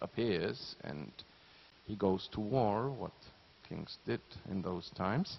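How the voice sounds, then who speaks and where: In a non-native accent, the speaker talks at a very slow pace with lively intonation and vocal fry. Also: man. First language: not English. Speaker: orchestra conductor. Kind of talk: pre-concert talk to audience.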